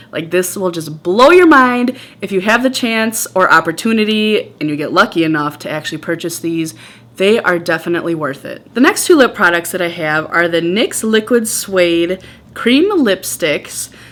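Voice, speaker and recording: A woman with a Wisconsin accent speaks at a moderate pace in a medium pitch, her tone animated and her intonation lively. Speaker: beauty vlogger. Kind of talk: casual product review.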